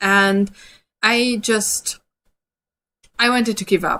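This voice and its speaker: A woman with an Austrian accent speaks in a bright, sharp tone at a fairly high pitch. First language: German. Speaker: dog trainer. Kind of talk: webinar presentation. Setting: online webinar.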